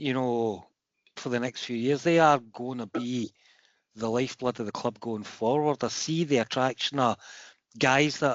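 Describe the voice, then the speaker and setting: Fairly even intonation from a man in a Glaswegian accent, medium in pitch, at a moderate pace. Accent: Glaswegian Scottish. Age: 50s. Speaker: football fan, foundation member. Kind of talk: meeting contribution. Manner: halting, repetitive.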